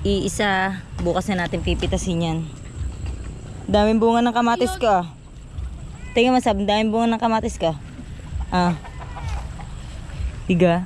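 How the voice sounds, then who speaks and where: Moderate-paced speech broken by long, frequent pauses, over noticeable background noise. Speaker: vlogger. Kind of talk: casual vlog chat.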